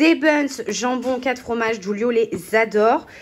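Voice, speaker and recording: A woman with a high pitch speaks in a fairly even intonation amid noticeable background noise. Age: 20s. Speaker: vlogger. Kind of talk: casual vlog narration. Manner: casual, with filler hesitations. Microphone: damaged mic, poor voiceover sound.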